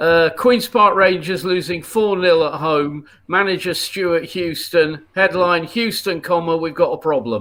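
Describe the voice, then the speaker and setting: This speaker talks at a fairly slow pace with ordinary pitch variation and a Yorkshire accent. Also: man, high pitch for a man. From northern England, Leeds. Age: 60s. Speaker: comedian. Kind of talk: casual chat. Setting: live stream.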